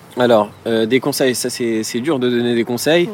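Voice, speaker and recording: Noticeable background noise sits under the recording. A man talks at a fairly quick pace with fairly even intonation. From Paris suburbs, France (Villepinte, Seine-Saint-Denis). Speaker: entrepreneur. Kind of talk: interview. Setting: outdoor terrace.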